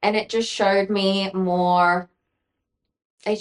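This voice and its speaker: The speaker uses monotone, flat intonation in an Australian accent. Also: woman. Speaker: former DJ, podcast guest. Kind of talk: casual interview chat, personal story. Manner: loud; valley-girl style, many fillers.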